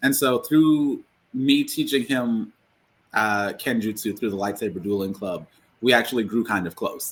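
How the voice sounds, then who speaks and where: On a very clean recording with a silent background, a man talks at a moderate pace and medium pitch with ordinary pitch variation. He has an unremarkable speaking voice. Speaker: author and former teacher. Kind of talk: casual interview chat.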